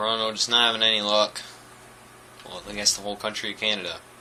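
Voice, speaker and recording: A man talks very fast in a fairly low voice, his intonation flat and monotone. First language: French. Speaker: gaming commentator. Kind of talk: gameplay commentary. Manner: nonchalant.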